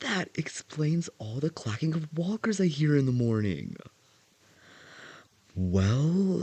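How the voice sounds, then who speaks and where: Soft-spoken and very slow, a man with a fairly high voice uses very wide pitch swings and long, frequent pauses over a quiet background. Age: 20s. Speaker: voice actor. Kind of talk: audio roleplay. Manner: hesitant, shy.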